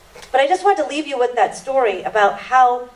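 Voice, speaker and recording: Against noticeable background noise, a woman speaks at a moderate pace in a high pitch with ordinary pitch variation. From Indian family background. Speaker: panel speaker and radio/TV show host. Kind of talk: panel talk. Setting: church hall with audience.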